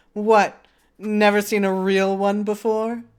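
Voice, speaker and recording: Speaking at a fairly slow pace, this put-on character voice sits at a fairly high pitch with a monotone, flat intonation. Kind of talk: fancy, posh. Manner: confident, cocky.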